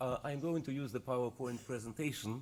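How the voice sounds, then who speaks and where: With a Russian accent, a man speaks at a medium pitch with ordinary pitch variation. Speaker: economist. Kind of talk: conference presentation.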